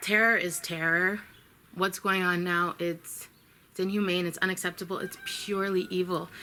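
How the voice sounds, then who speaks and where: Over noticeable background noise, a woman with an American accent speaks at a moderate pace and medium pitch, her intonation monotone and flat. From US Midwest, Chicago. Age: 30s. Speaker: vlogger. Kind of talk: spiritual video update. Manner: earnest, with hesitations.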